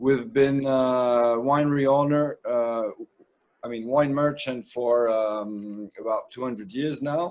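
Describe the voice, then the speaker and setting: Speaking very slowly with fairly even intonation, a man at medium pitch talks in a French accent. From France, Bordeaux. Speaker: winemaker. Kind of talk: trade presentation. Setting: video call.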